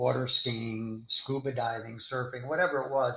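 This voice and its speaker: A man's normal speaking voice at a medium pitch, with an American accent, fairly even intonation and a moderate pace. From US South, Florida. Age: 60s. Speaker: endurance athlete and attorney. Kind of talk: interview.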